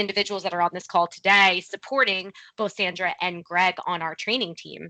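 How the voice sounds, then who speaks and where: A woman speaks at a moderate pace over a quiet background, her medium pitch carrying a bright, sharp tone, fairly even intonation and a New Jersey accent. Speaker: corporate training program lead. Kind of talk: virtual meeting presentation.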